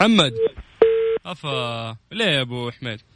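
A man with a Hijazi accent and an animated tone. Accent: Saudi Hijazi Arabic. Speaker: radio host. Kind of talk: casual chat. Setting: studio.

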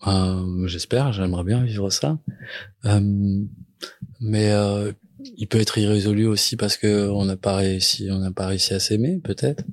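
A man speaks at a fairly slow pace, fairly low in pitch with ordinary variation. The recording is very clean, with a silent background. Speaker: singer-songwriter. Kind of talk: interview about making a song. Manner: halting, many repetitions and fillers.

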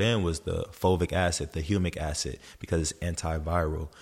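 With an American accent, a man speaks at a very deep, low pitch and fairly even intonation in a very clean recording with a silent background. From US, Los Angeles, Memphis and Atlanta. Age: 20s. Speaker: performance coach, former pro football player. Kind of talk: casual chat.

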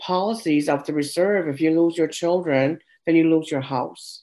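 Her voice is very deep and low in pitch, with ordinary pitch variation. The woman's tone is dark and mellow. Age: 60s. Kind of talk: interview. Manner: halting, many fillers.

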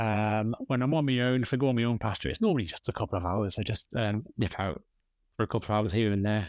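A man with an English accent speaks at a very fast pace in a fairly low pitch with ordinary pitch variation. The sound is dry and close with no echo, over a quiet background. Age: 30s. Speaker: metal detectorist. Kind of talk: casual chat. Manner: halting.

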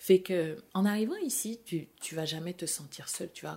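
A woman speaks at a very slow pace in a dark, mellow tone. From France, with Senegalese family. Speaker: chemical engineer, immigrant. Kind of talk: interview conversation.

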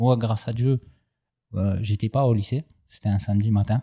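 A man's somewhat breathy, medium-pitched voice with a dark, mellow tone, in a dry, close sound with no echo. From southern France, Aubagne. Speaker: rapper and tattoo artist. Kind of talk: casual interview. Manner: animated.

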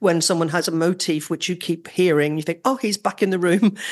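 A woman speaks with a Northern Irish accent. The background is quiet. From Northern Ireland. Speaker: orchestral trumpeter. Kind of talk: casual interview chat.

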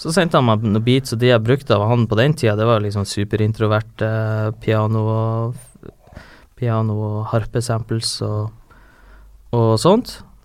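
A man with a normal speaking voice talks at a fairly slow pace and medium pitch, keeping a fairly even intonation. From northern Norway, Harstad. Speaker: rapper. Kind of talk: casual chat.

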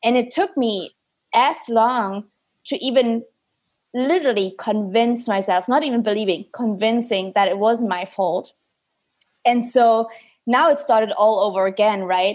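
A woman with a German accent speaks at a fairly slow pace with long, frequent pauses. Her pitch is fairly high, with ordinary variation. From Germany. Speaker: podcast host, performance coach. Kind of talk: casual interview. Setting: video call.

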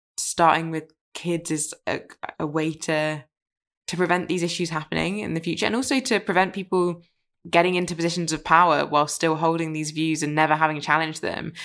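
At a fairly quick pace, a woman talks in an unremarkable speaking voice with fairly even intonation. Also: fairly low pitch for a woman, very clean recording, silent background. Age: 20s. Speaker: podcast host. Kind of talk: interview conversation.

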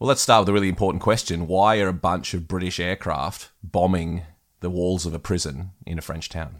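On a very clean recording with a silent background, a man with an Australian accent speaks at a fairly quick pace in a very deep, low pitch. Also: fairly even intonation. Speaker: battlefield historian and podcast host. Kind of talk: casual chat. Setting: outdoors.

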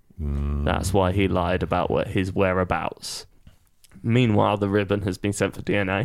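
A man's fairly low voice with a British accent, fairly slow, on a very clean recording with a silent background. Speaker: podcast panelist. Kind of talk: casual banter.

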